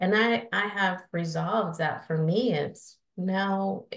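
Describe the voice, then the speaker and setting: A woman talks with a Northern US accent and ordinary pitch variation. Her voice is somewhat breathy. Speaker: adult learning strategist and adjunct faculty. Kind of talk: podcast interview. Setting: podcast.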